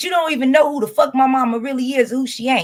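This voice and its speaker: A woman with an American accent, high-pitched and animated in tone. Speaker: YouTuber. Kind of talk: live stream commentary.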